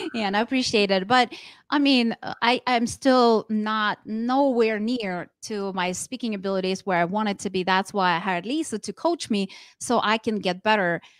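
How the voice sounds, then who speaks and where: A woman speaks at a moderate pace with a non-native accent and a fairly high pitch. Her pitch varies in an ordinary way, and the sound is dry and close with no echo, over a silent background on a very clean recording. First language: not English. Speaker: network marketing trainer and speaker. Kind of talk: interview.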